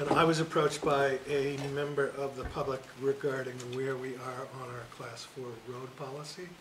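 Over music in the background, a man speaks at a moderate pace in a monotone, flat intonation. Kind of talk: meeting discussion. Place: meeting room. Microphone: podium.

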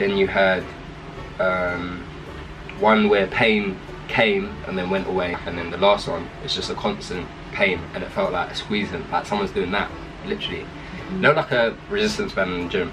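Fairly even intonation comes through over noticeable background noise. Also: man, fairly low pitch for a man, moderate pace. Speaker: younger brother, video guest. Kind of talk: casual talk to camera. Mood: playful, sheepish apology. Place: home room.

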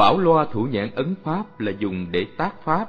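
Over music in the background, a man talks at a very slow pace with very wide swings in pitch. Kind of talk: Buddhist story and dharma talk narration.

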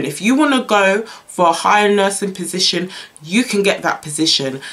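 At a moderate pace, a woman talks with a medium pitch, a fairly bright tone and ordinary pitch variation.

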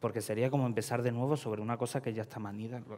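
Fairly even intonation from a man with a medium-pitched voice. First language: Russian (speaking Spanish). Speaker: writer; panel writer. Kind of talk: panel discussion. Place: hall.

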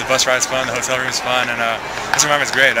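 A man talks at a very fast pace. The sound is dry with no echo, though loud background noise is present. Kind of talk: interview answer. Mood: happy after a win. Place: stadium.

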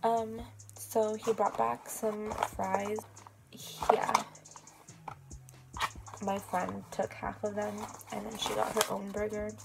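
With music behind her, a woman talks at a very slow pace. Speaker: vlogger. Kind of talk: casual vlog chat. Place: home room. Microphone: phone near.

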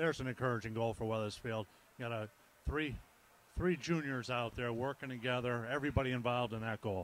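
Over light background noise, a man talks very fast with ordinary pitch variation, the sound dry with no echo. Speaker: color commentator. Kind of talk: live commentary. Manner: casual, conversational analyst. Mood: upbeat, approving. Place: stadium.

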